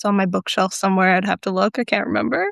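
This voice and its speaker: A woman at a very fast pace, dry and close with no echo. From rural Alberta, Canada. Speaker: poet and writer. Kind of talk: casual conversation.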